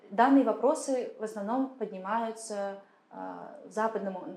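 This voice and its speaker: Noticeable background noise accompanies a woman's voice. She speaks at a fairly high pitch and a fairly slow pace. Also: long, frequent pauses. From Kazakhstan. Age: 30s. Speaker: political consultant and activist. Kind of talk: interview. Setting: studio.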